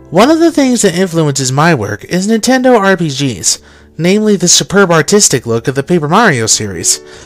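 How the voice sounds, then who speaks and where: With music in the background, a man speaks at a fairly high pitch, his voice swinging very widely in pitch. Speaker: art and design student. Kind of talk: portfolio presentation voice-over.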